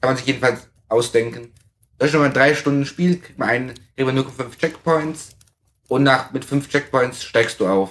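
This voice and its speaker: A man with a normal speaking voice, fairly high in pitch, with ordinary pitch variation at a moderate pace. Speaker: tabletop game master. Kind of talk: casual chat.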